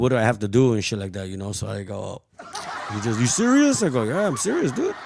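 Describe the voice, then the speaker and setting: A man talks at a very fast pace. There is audible room echo and noticeable background noise. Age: 50s. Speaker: podcast host. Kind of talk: casual chat. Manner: halting, many false starts and fillers.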